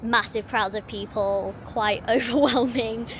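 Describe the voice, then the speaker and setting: In a London accent, a woman talks with a fairly high pitch. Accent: southern English (London). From England. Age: 30s. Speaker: vlogger. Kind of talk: casual vlog talk to camera.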